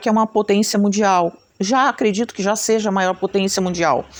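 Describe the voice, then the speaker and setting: This is a woman speaking. Her pitch is medium. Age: 60s. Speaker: craft teacher and channel host. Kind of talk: casual talk to camera. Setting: at home. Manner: chatty, conversational.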